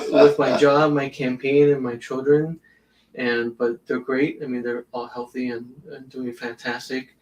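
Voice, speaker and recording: The man speaks at a moderate pace and medium pitch, keeping his intonation fairly even. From South Florida, Hialeah, Cuban-American family. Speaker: judicial candidate, attorney. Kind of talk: interview.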